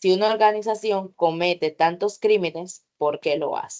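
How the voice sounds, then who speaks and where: This woman has an unremarkable speaking voice, medium in pitch, with ordinary pitch variation and a moderate pace. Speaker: teacher. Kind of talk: online workshop lecture.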